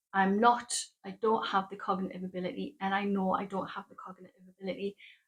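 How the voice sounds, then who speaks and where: This woman speaks with a northeast English accent. Her voice is somewhat breathy. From northeast England. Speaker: knitting podcaster. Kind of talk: casual monologue to camera. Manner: hesitant, with fillers and restarts.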